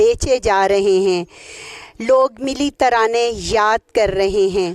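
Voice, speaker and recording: The recording has a dry, close sound with no echo. A woman speaks at a fairly high pitch in an unremarkable speaking voice. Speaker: interviewer. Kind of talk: on-location report to camera.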